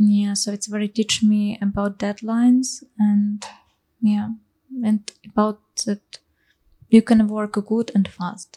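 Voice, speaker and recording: Speaking at a very slow pace with long, frequent pauses, a woman with a Ukrainian accent uses a fairly high pitch, a somewhat breathy, dark, mellow tone and monotone, flat intonation. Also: dry, close sound with no echo. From Ukraine. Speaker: musician. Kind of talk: interview.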